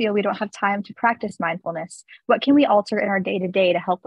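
A woman speaks at a fairly quick pace with ordinary pitch variation and a somewhat breathy voice, the sound dry with no echo against a quiet background. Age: young. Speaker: student moderator. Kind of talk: moderated Q&A. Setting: video call. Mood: friendly, upbeat. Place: home room. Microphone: video call.

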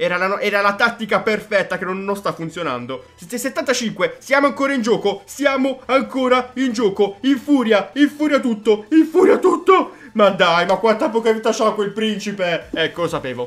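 Faint music plays behind a man whose high voice moves at a moderate pace with lively intonation. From Foggia, Apulia, Italy. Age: 20s. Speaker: gaming YouTuber. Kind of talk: gameplay commentary. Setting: home studio microphone. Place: home room.

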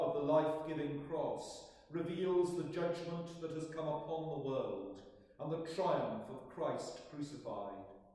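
A man speaks at a fairly slow pace. Strong room echo surrounds his voice. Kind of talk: liturgical prayer. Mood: solemn, measured. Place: church. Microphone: camera far.

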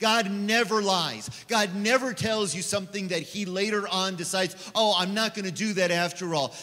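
Using a raised, projected voice, a man speaks at a moderate pace with fairly even intonation. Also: hardly any pauses. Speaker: preacher. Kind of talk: sermon. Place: church. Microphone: handheld.

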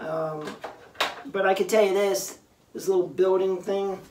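A man speaks at a moderate pace amid light background noise and audible room echo. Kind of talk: unboxing review chat. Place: home room. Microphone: camera far.

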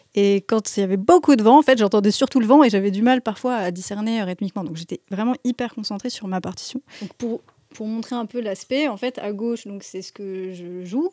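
A dark, mellow voice at a fairly quick pace, with big swings in loudness, ordinary pitch variation, a dry sound with no echo and a quiet background. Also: woman, fairly high pitch for a woman. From Metz, France; France. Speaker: composer and musician; guest. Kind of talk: casual chat interview. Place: shop. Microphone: studio mic.

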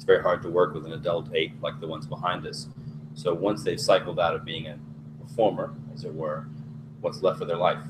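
A man speaks fairly quickly while noticeable background noise carries on. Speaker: webcast moderator. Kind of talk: moderated webcast interview. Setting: video webcast. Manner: formal. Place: studio.

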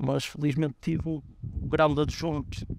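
Fairly high-pitched male voice with fairly even intonation, dry with no echo. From northern Portugal, Guimarães area; northern Portugal. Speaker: football coach. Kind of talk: interview. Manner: halting, many fillers and repetitions. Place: stadium.

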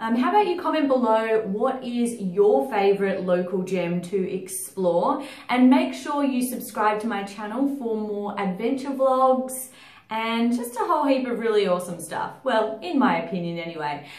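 This woman talks at a moderate pace. The room gives an audible echo. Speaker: travel vlogger. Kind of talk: casual vlog chat. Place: home room.

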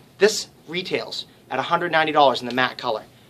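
A man speaks here in a bright, sharp tone. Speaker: shop salesman. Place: shop. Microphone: headset.

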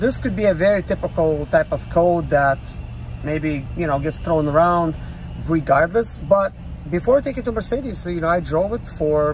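The recording is dry with no echo, carries light background noise, and moves at a moderate pace. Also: man. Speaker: van owner vlogger. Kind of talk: casual vlog chat. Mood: calm, mildly concerned. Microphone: phone near.

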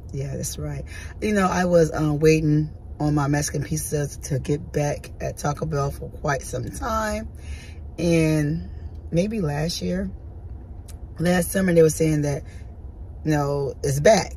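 A woman at a fairly slow pace with long, frequent pauses, dry sound with no echo and light background noise. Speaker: food vlogger. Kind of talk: casual vlog chat. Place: car. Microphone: phone near.

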